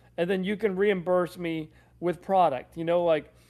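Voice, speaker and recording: Against a silent background in a very clean recording, a man with a high pitch speaks at a moderate pace with fairly even intonation. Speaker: pet food expert hosting live Q&A. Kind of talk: live stream Q&A.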